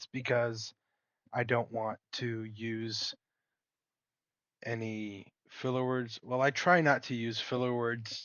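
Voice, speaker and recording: A man's medium-pitched voice at a fairly slow pace. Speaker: gaming YouTuber. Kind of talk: gameplay commentary. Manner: articulate.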